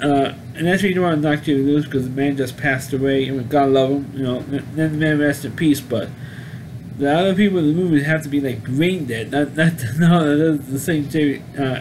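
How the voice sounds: Over clear background noise, a man with a fairly high pitch speaks at a fairly quick pace with ordinary pitch variation.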